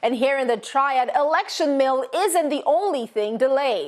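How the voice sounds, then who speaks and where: With an American accent, a woman speaks at a moderate pace in lively intonation over noticeable background noise. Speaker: TV news anchor and field reporter. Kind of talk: live field reporting, stand-up. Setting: outdoors on location.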